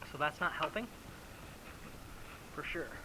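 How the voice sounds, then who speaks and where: Over noticeable background noise, a man mumbles quietly at a fairly quick pace. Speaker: small engine repair mechanic. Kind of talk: repair tutorial. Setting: workshop. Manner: mumbling, quiet; casual, thinking aloud. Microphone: chest-mounted camera, often too quiet.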